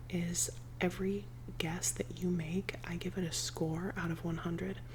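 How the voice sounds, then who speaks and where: Speaking at a fairly slow pace, the woman is soft-spoken. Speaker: ASMR creator. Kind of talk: ASMR rambling, casual talk to camera. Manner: soft-spoken, cozy.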